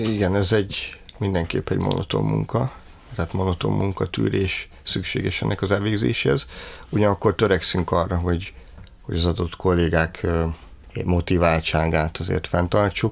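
Delivered at a moderate pace with ordinary pitch variation and vocal fry, the voice sits on a very clean recording with a silent background. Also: man, very deep, low pitch for a man. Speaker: head of a library digitisation department. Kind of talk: interview.

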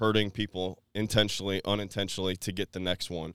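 A plain, everyday voice: a man at a fairly low pitch, fairly quick pace and fairly even intonation, on a very clean recording with a silent background and a dry, close sound with no echo. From Florida, Tampa Bay area. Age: 30s. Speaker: recovery speaker. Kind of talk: personal testimony.

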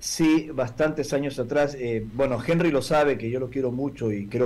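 Somewhat breathy, a man speaks at a fairly quick pace with ordinary pitch variation. Audible room echo surrounds his voice. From Peru, Lima. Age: 40s. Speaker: UFO contactee and lecturer. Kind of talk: interview testimony. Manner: formal.

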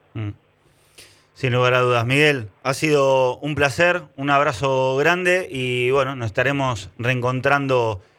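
A man speaks very slowly at a medium pitch. His tone is bright and sharp, with ordinary pitch variation. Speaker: sports journalist, interviewer. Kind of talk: casual interview.

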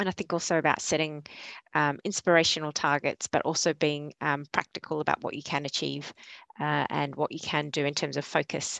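A woman with an Australian accent speaks in a very deep, low pitch with vocal fry and a flat monotone. The sound is dry and close with no echo. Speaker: sustainability consultant. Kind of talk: panel discussion. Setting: video call.

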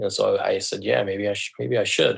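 Here a man talks with an American accent. He keeps a fairly quick pace. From US Southwest, rural southern Colorado. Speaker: left-behind parent telling his story. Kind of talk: personal testimony in interview. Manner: halting, with many fillers and repetitions.

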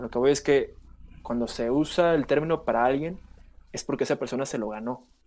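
A man's plain, everyday voice, fairly high in pitch with ordinary variation, at a fairly quick pace. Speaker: podcast co-host. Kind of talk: casual chat.

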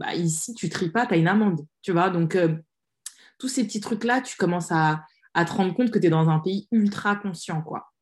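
A woman's somewhat breathy voice at a fairly slow pace with ordinary pitch variation. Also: very clean recording, silent background. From France. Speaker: social media strategy consultant and author. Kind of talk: casual interview.

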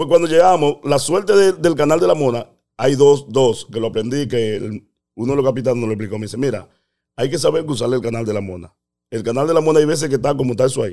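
A man's dark, mellow voice moves at a very fast pace with lively intonation. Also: medium pitch for a man. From Dominican Republic. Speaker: immigrant telling his story. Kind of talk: storytelling in casual chat.

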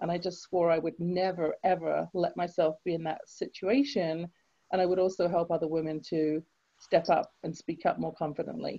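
In an English accent, a woman talks at a moderate pace with a fairly low pitch. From England. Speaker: author and confidence coach. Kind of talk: interview.

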